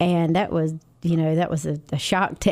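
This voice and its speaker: At a moderate pace, a woman speaks in a dark, mellow tone with a North Carolina accent. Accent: North Carolina Southern. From North Carolina, Johnston County near Kenly. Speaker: nurse and music teacher. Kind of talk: radio interview.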